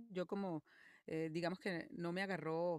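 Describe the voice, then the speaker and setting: A woman's very deep, low voice at a moderate pace, monotone and flat, with a dry, close sound and no echo. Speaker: voice actress and singer. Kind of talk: interview.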